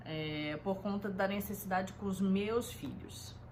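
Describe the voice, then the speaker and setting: A woman's voice at a medium pitch. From Rio de Janeiro, Brazil. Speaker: home organization consultant. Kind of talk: casual self-introduction talk. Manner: hesitant, many fillers.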